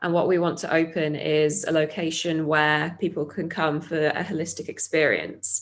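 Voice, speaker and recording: Spoken with a British accent and some vocal fry, this voice moves at a moderate pace with ordinary pitch variation over a quiet background. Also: woman. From UK. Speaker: startup founder. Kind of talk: interview.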